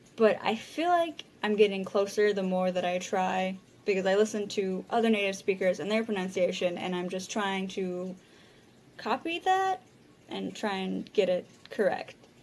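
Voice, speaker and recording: Noticeable background noise sits behind the recording. A woman speaks at a moderate pace with fairly even intonation. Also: medium pitch for a woman. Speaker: language learner vlogger. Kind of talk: casual vlog monologue. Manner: halting, many repeated words.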